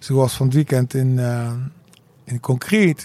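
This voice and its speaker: A man at medium pitch speaks in a dark, mellow tone with ordinary pitch variation. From Rotterdam, Netherlands. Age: 40s. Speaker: DJ. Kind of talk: casual chat.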